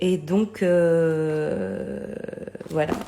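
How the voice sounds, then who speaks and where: A woman's voice with ordinary pitch variation. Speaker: tarot and oracle card YouTuber. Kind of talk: casual card review monologue. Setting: home video late at night. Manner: hesitant, many fillers.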